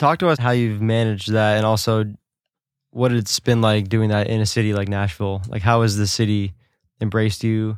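A man has an unremarkable speaking voice, fairly low in pitch, with an American accent and fairly even intonation at a fairly quick pace. The recording is very clean, with a silent background. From New York. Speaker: podcast co-host, drummer. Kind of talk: casual chat. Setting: studio.

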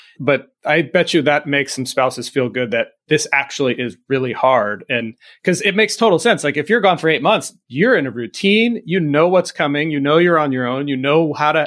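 A normal speaking voice: a man with an American accent, fairly high in pitch, with lively intonation. He talks at a fairly quick pace with hardly any pauses, in a very clean recording with a silent background. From US California. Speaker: podcast host, retired fire captain. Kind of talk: casual interview chat.

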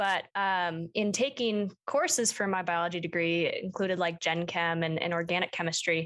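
In an ordinary speaking voice with an American accent, a woman talks at a moderate pace and a fairly low pitch, her loudness very even and her pitch varying in an ordinary way, on a very clean recording with a silent background. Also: hardly any pauses. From Minnesota, Twin Cities suburbs. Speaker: ecology graduate student. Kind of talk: interview.

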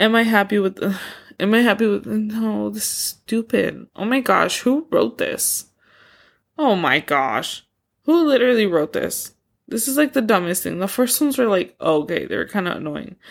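Moderately paced speech from a woman, on a very clean recording against a silent background. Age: 20s. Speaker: podcast host. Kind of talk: casual solo monologue. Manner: filler-heavy, rambling with many likes and ums.

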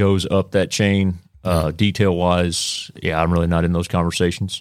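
The recording is very clean, with a silent background. A man with a Texan accent and a very deep, low pitch speaks at a fairly slow pace. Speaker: police sergeant, SWAT. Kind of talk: casual chat. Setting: studio.

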